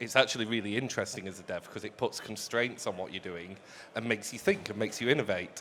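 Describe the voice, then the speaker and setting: The speaker is a man. He has a British accent. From UK. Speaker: accessibility consultant. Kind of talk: live panel chat. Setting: stage with audience. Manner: fast.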